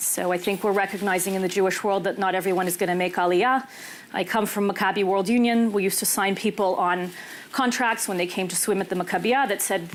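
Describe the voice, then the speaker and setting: A woman talks at a fairly quick pace in a medium pitch. Noticeable background noise can be heard. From US, Los Angeles (Israeli parents). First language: Hebrew. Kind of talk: panel discussion. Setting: small room with audience.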